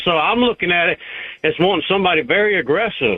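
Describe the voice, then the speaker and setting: A man talks with a Southern US accent at a fairly quick pace. His voice is high-pitched. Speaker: caller. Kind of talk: call-in radio talk.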